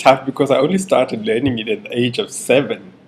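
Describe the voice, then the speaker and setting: A man talks in a South African accent. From South Africa, Cape Town. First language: Afrikaans. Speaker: interviewee. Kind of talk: personal testimony. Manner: halting, many fillers.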